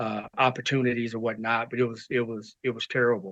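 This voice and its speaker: Speaking at a moderate pace, a man with an American accent has a bright, sharp tone. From US Midwest, Kansas City. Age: 60s. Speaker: martial arts grandmaster. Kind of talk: interview.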